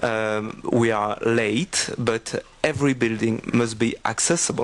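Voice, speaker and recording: With fairly even intonation and a medium pitch, a man talks at a very slow pace. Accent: French. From France (Corsica). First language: French. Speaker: accessibility expert, conference speaker. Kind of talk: conference presentation. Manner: halting, many fillers.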